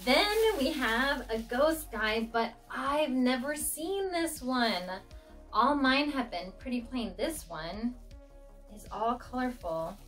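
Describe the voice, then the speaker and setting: A high-pitched woman's voice at a very slow pace, with faint music in the background. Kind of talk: casual vlog chat. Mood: excited, cheerful. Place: home room.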